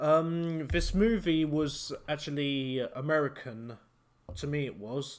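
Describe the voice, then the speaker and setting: The recording is very clean, its background silent. A man talks with a British accent. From Britain. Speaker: YouTube reviewer. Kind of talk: casual film review. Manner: hesitant, many fillers. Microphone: new USB microphone, recorded on computer.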